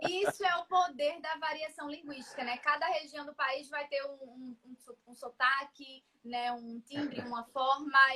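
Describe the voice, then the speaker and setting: A high-pitched woman projects a raised voice at a fairly slow pace, with big swings in loudness and hardly any pauses. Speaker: writing teacher. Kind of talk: casual chat. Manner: animated.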